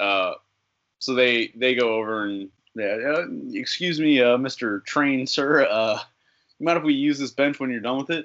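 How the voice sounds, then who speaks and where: A man with an American accent has an ordinary speaking voice, medium in pitch with ordinary pitch variation, delivered at a fairly slow pace. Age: 20s. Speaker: independent pro wrestler. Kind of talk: casual interview.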